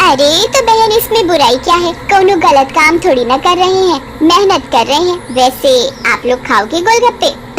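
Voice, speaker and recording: Over clear background noise, a woman uses a cartoonish character voice at an extremely high pitch and a moderate pace. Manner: sweet, playful, teasing.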